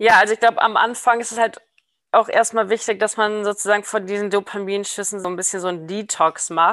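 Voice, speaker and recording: A woman speaks at a fairly quick pace in a medium pitch. Her intonation stays flat and monotone. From international upbringing, New York and Berlin. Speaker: behavioral genetics researcher. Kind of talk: casual interview. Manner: halting, many fillers.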